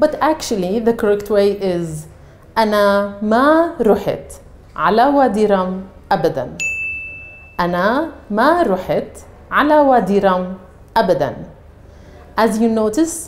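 Very slow and marked by long, frequent pauses, a woman's speech keeps a very even loudness while her pitch swings very widely. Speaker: Arabic teacher. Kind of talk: language lesson to camera. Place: studio. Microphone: lapel.

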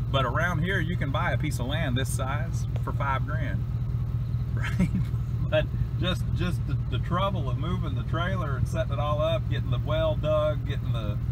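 A man speaks at a medium speed while heavy background noise fills the clip. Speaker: vlogger filming property. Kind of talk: casual vlog chat. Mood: relaxed, musing, some laughs. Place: open country. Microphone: phone near.

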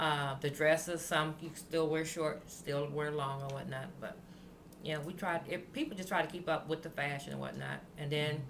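Over light background noise, a woman talks in a very deep, low pitch with fairly even intonation. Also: moderate pace. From US Midwest, Champaign-Urbana, Illinois. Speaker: oral history narrator. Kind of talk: oral history interview. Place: home room. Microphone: webcam.

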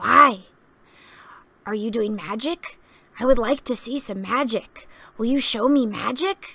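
A woman performs a put-on character voice. She leaves long, frequent pauses. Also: fairly high pitch for a woman, fairly slow pace. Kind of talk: excitable, childlike. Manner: eager, chattering, endless questions.

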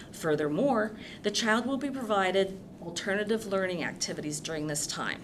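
A woman speaking at a moderate pace amid audible room echo and noticeable background noise. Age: 60s. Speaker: public commenter at school board meeting. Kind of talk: public comment at board meeting.

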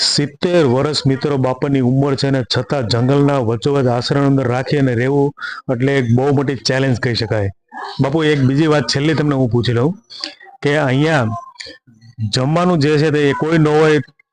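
A man has a plain, everyday voice with a fairly high pitch. His intonation is fairly even and his loudness very even. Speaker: travel vlogger. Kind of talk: casual vlog narration.

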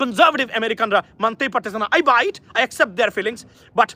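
In a dry, close sound with no echo, a man projects a raised voice with an animated, bright and sharp tone. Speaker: news commentator. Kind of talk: live news commentary. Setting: outdoors.

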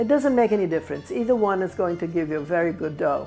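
A woman talks at a very fast pace. Faint music plays in the background. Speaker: home cook host. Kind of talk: cooking tutorial. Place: kitchen.

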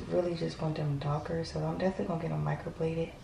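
A woman's voice comes through with light background noise and audible room echo. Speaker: expectant mother vlogger. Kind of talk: casual vlog chat. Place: bathroom. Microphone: phone near.

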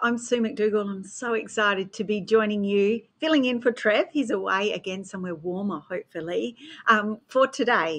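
Ordinary pitch variation and a moderate pace from a woman. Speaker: show host. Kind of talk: live show host introduction. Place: home room. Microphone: webcam.

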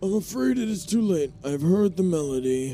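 Over clear background music, a man does a put-on character voice at a high pitch and a moderate pace. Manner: weary, solemn.

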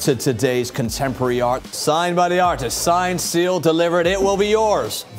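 With faint music in the background, a man talks at a moderate pace and with ordinary pitch variation. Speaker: fine art TV host and auctioneer. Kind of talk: TV auction host presentation. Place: studio. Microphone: lapel.

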